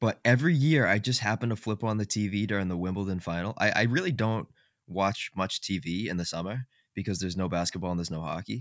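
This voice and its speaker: The speech moves at a very fast pace with ordinary pitch variation. The sound is dry and close with no echo, in a very clean recording with a silent background. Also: man, fairly low pitch for a man. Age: 20s. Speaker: sports podcast host. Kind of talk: casual chat.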